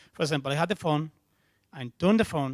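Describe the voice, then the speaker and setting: The speaker is a man. He has a Spanish accent. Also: dry, close sound with no echo. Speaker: software developer, conference speaker. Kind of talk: tech conference talk Q&A. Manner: halting.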